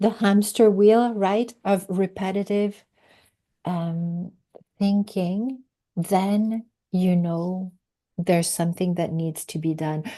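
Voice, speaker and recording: In a French accent, a woman talks at a very slow pace with long, frequent pauses, at medium pitch, with a dark, mellow tone and fairly even intonation. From Quebec. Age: 50s. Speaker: podcast guest, recovery coach. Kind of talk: interview conversation. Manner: halting.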